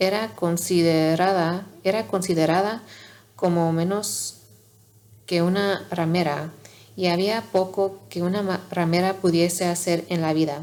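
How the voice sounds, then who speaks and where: A woman talks at a fairly slow pace with ordinary pitch variation. She leaves long, frequent pauses. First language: not Spanish (learner) (speaking Spanish). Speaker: ASMR channel host reading aloud. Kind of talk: reading aloud. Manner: soft-spoken, quiet; halting, self-correcting.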